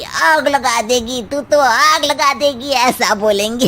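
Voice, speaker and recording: In a high-pitched cartoonish character voice, a woman speaks fairly slowly with ordinary pitch variation over light background noise. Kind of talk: comic cartoon acting.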